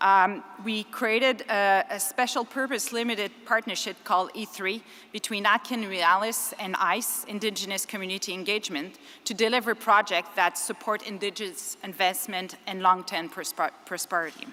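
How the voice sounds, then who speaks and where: A woman with a Quebec accent speaks at a medium pitch in a bright, sharp tone. She keeps a moderate pace with hardly any pauses and fairly even intonation. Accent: French Canadian accent in English. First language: French. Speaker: engineering firm executive, conference speaker. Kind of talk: conference speech. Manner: halting, with self-corrections.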